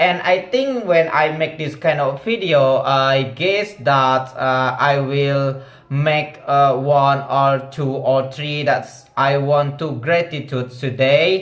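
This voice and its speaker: In a room with audible echo, a man with an Indonesian accent speaks very slowly at a fairly high pitch with fairly even intonation. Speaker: vlogger practicing English. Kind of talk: casual monologue vlog. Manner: halting, many fillers.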